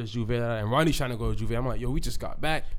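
A man with an American accent talks at a very fast pace in an animated tone. Audible room echo surrounds his voice. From United States. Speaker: podcast co-host. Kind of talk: casual chat.

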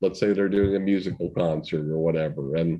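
With an American accent and a dark, mellow tone, a man speaks at a moderate pace. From Massachusetts, US. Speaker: comedy talent manager and producer. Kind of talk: casual interview chat.

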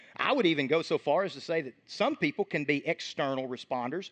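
A man's animated voice with lively intonation, in dry, close sound with no echo. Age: 30s. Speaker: pastor. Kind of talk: sermon.

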